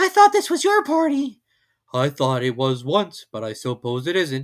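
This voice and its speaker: A man puts on a gruff character voice at a moderate pace on a very clean recording with a silent background. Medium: read story. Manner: slow, gentle, good-natured.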